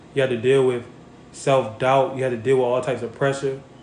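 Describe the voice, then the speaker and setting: A man speaks at a medium pitch in an animated tone, with audible room echo around him. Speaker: boxing content creator. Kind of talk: casual livestream chat answering viewer questions. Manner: casual, animated.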